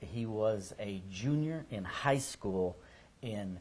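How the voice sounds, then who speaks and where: Fairly low in pitch, a man speaks with a somewhat breathy sound. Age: 60s. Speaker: oral history interviewer. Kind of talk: oral history interview.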